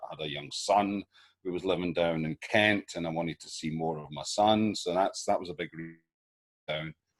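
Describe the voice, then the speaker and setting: With a Scottish accent, a man talks at a moderate pace with ordinary pitch variation. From Scotland. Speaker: actor. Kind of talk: casual chat. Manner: halting.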